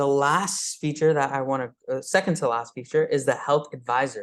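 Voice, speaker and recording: Someone with a Pakistani accent talks at a moderate pace. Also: man. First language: Urdu. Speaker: high school STEM teacher presenting. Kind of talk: tech demo presentation at meetup. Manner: hesitant, many fillers.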